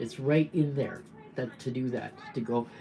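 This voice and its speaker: Speaking with a Canadian accent, a woman has a very deep, low pitch. She talks at a fairly slow pace with fairly even intonation. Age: 70s. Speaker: political activist. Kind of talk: livestream monologue. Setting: livestream.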